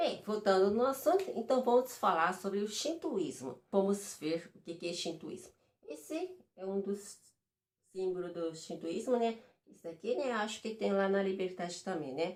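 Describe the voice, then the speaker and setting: A woman with a non-native accent, medium pitch and lively intonation. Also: moderate pace. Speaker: vlogger. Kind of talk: reading aloud; casual explainer vlog. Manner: halting.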